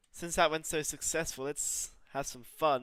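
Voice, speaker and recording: Sounding strained, a man with a fairly high pitch and a bright, sharp tone speaks at a moderate pace with fairly even intonation. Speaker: gaming streamer. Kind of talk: live gameplay commentary. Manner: flat, restrained delivery.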